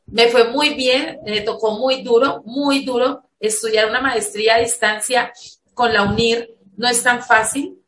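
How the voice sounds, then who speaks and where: A woman speaks very slowly with a fairly high pitch. Her intonation stays fairly even. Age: 40s. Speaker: education academic. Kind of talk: interview.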